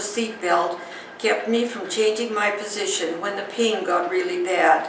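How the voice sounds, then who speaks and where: Noticeable background noise behind a woman of medium pitch, at a moderate pace with ordinary pitch variation. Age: 80s+. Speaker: scoliosis patient. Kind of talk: patient testimonial.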